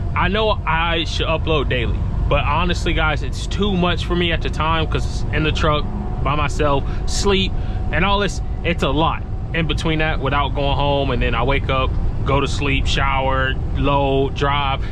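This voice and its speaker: A man at a moderate pace with very even loudness, in a dry sound with no echo, over noticeable background noise. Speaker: truck driver vlogger. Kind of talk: casual vlog chat. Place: car. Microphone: phone near.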